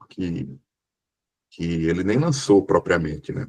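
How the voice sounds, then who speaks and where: A man with a northeastern Brazilian accent, very wide pitch swings and vocal fry. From Brazil, Sergipe (Northeast). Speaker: book club member, moderator. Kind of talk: book club discussion.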